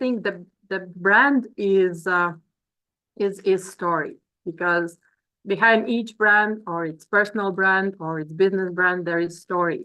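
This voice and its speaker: With a Latvian accent, the speaker goes very slowly, pausing long and often, in a bright, sharp tone with ordinary pitch variation. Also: woman. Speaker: business coach. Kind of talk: webinar presentation. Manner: halting.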